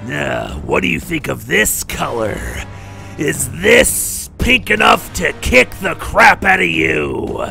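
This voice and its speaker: A man talks at a fairly slow pace. Clear background noise runs behind him. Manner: boastful, taunting.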